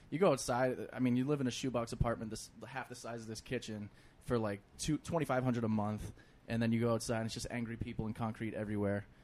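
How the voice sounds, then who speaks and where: This man speaks very fast with a Boston accent, keeping a medium pitch and fairly even intonation. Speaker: comedian. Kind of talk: casual chat.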